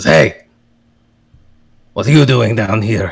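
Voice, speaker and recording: In a put-on character voice, a man sounds gruff and raspy. His pitch is medium. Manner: suspicious, challenging.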